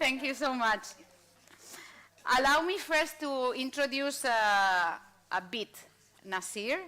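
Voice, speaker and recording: A woman with a Spanish accent, bright and sharp in tone, with lively intonation, in a very clean recording over a silent background. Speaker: panel moderator. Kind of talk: panel moderation. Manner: halting, many fillers.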